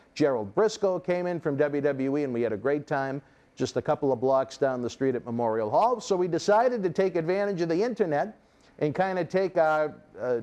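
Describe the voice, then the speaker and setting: A man's dark, mellow voice in a Boston accent, fairly high in pitch, with lively intonation, a fairly quick pace and a quiet background. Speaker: wrestling interview host. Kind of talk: casual interview chat. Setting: studio.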